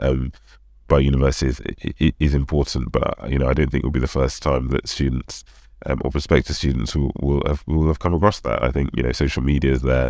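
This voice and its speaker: Noticeable background noise sits behind a man with a London accent and a very deep, low voice. He talks at a very fast pace with fairly even intonation. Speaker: consultant. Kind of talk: interview. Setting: remote video call. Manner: hesitant, many fillers.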